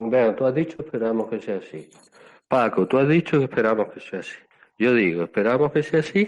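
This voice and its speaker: This man talks at a fairly quick pace and medium pitch. His intonation is lively, and his loudness swings widely. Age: 60s. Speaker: Buddhist monk. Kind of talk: casual chat. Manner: calm, relaxing.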